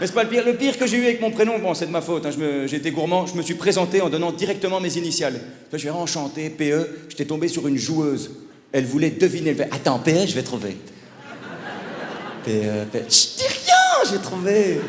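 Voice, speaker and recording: Against noticeable background noise and audible room echo, a man in a Belgian accent speaks fairly quickly at a high pitch with very wide pitch swings, an animated tone and long, frequent pauses. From Belgium. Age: 30s. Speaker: stand-up comedian. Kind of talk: stand-up. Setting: stage with audience.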